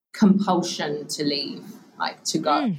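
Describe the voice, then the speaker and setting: Somewhat breathy speech from a woman with an English accent and fairly even intonation. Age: 40s. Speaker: author and purpose coach. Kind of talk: interview.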